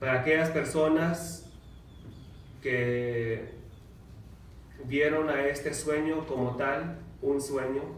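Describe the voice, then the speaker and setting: Speaking in an American accent, a man goes at a very slow pace with long, frequent pauses, his fairly high pitch showing ordinary variation. Audible room echo and noticeable background noise surround him. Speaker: mayor. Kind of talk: reading aloud; public speech.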